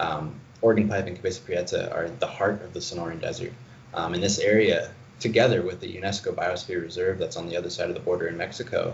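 Someone with an American accent talks at a very fast pace amid audible room echo. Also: man. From Arizona. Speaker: environmental campaigner. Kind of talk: interview. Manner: hesitant, many fillers.

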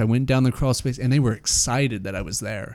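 A man speaks in an American accent at a medium pitch with ordinary pitch variation. He has a plain, everyday voice. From Utah (Salt Lake City). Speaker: personal development facilitator. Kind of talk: casual interview chat, personal story.

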